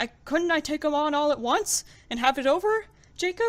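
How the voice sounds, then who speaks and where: Using a put-on character voice, a woman speaks at high pitch. Her intonation is lively and her pace is moderate. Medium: read story. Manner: faltering.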